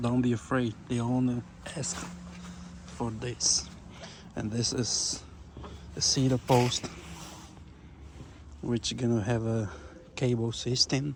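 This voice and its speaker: Very slow speech from a man at medium pitch, with ordinary pitch variation, long, frequent pauses and noticeable background noise. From Brazil. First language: Portuguese. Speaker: carpenter vlogger. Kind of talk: casual video tour.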